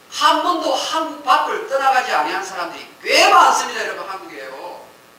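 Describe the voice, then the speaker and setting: Amid audible room echo and noticeable background noise, a man raises and projects his voice at an extremely high pitch. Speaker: pastor. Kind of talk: sermon.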